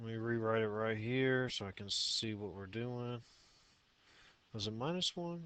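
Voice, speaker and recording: Pausing long and often, a man talks at a medium pitch with ordinary pitch variation. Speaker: math teacher. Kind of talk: tutorial.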